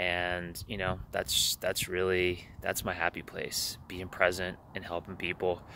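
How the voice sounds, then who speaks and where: Over light background noise, a man with a very deep, low pitch and a bright, sharp tone speaks at a fairly slow pace in a dry sound with no echo. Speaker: life coach vlogger. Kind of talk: casual vlog chat. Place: waterside. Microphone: earbuds.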